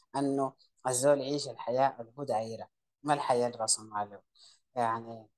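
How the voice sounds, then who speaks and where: Fairly even intonation shapes a man's speech at a medium pitch. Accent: Sudanese. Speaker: entrepreneur. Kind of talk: interview conversation.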